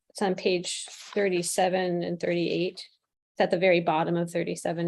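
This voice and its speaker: A woman speaks at a moderate pace and a medium pitch. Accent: Midwestern. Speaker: planning commissioner. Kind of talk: public meeting discussion.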